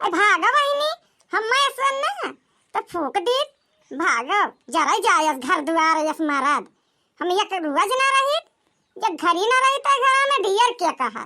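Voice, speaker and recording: In a squeaky, cartoonish character voice, a woman speaks at an extremely high pitch with very wide pitch swings at a moderate pace. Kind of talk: rustic village comedy. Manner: blunt, scolding.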